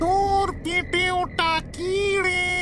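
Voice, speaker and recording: An extremely high-pitched, cartoonish character voice. Loud background noise runs behind it. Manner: gruff, demanding.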